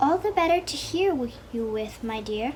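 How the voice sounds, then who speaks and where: A woman's gruff, put-on character voice, high pitched, at a moderate pace over clear background noise. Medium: read story. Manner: sly, falsely sweet.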